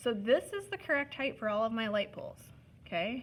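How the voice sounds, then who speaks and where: A woman at a moderate pace with a fairly high pitch. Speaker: art teacher. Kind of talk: tutorial. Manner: casual, instructive.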